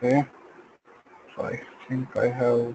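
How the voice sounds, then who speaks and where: Over noticeable background noise, a man speaks very slowly at a medium pitch in a monotone, flat intonation, the sound dry and close with no echo. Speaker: software trainer. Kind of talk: tutorial.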